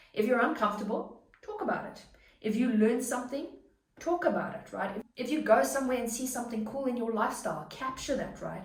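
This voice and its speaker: A woman with a fairly high pitch talks at a fairly quick pace. Music plays in the background, and room echo is audible. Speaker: online business coach and content creator. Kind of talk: tutorial. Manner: fast; animated.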